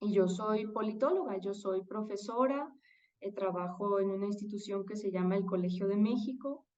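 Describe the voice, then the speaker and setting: Speaking at a moderate pace, a woman uses medium pitch and fairly even intonation. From Mexico. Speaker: political scientist and professor. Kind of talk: interview conversation.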